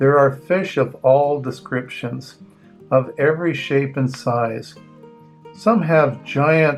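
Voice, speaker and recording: A man's fairly high voice at a very slow pace, with lively intonation and music playing in the background. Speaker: grandfather reading children's books aloud. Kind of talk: children's picture book reading. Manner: casual, friendly, chatty.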